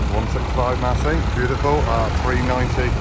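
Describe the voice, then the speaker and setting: Loud background noise runs under a man's speech. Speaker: tractor enthusiast vlogger. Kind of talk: casual vlog commentary. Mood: enthusiastic, admiring. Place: street. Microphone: phone near.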